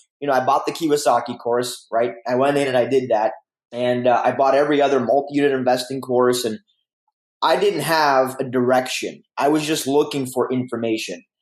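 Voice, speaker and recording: A man speaks at a fairly quick pace and medium pitch, his loudness very even throughout. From Canada (Windsor, Ontario), born in Romania. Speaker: real estate investor. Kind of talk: podcast interview. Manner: animated.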